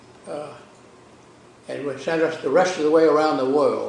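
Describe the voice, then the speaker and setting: In an American accent, a man speaks at a moderate pace with a fairly high pitch. Noticeable background noise and audible room echo come through. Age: 90s. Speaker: lawyer and navy veteran. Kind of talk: oral history interview.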